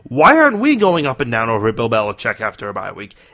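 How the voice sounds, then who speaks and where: In an American accent, a man speaks in a raised, projected voice with a bright, sharp tone. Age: 20s. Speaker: sports podcast host. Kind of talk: solo sports commentary podcast.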